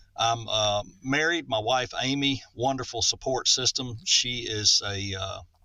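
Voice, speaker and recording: A man with a Southern US accent, fairly slow yet with hardly any pauses. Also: medium pitch for a man, ordinary pitch variation. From Middle Tennessee, US South. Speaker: voice actor. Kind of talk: podcast interview. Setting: remote recording call.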